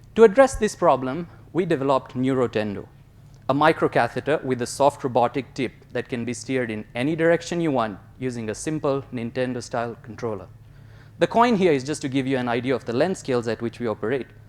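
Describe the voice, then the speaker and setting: A man at a medium pitch rushes along at a very fast pace, with ordinary pitch variation. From Kenya, born in India. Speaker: graduate student researcher. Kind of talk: competition research talk; interview answer.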